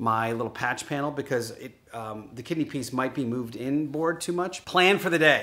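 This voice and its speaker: A man's bright, sharp tone at a moderate pace, with ordinary pitch variation. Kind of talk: casual vlog chat. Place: garage. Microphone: phone near.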